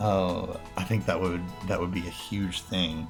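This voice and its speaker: Over music in the background, a man talks at a fairly slow pace with a very deep, low pitch. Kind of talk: casual gaming commentary.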